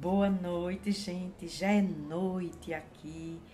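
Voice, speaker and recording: A woman speaks with fairly even intonation. There is audible echo from the room. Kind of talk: Bible devotional talk. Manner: halting, with many fillers.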